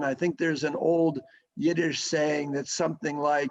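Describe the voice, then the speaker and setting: An unremarkable speaking voice, a man's, fairly high in pitch, with fairly even intonation at a moderate pace. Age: 60s. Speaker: sports association executive. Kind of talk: interview.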